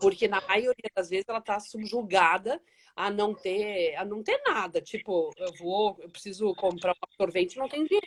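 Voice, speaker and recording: A woman with a plain, everyday voice speaks at a medium pitch and a moderate pace, with ordinary pitch variation and a dry, close sound with no echo. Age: 60s. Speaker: social project founder. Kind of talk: live interview. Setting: Instagram live video call.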